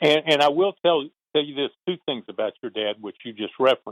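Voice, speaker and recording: A man's fairly high-pitched voice with a Southern accent. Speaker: retired baseball traveling secretary. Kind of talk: interview.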